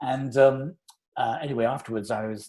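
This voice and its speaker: With a British accent, a man talks at a fairly quick pace in a dark, mellow tone. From England. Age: 60s. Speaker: conductor. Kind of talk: interview, casual chat.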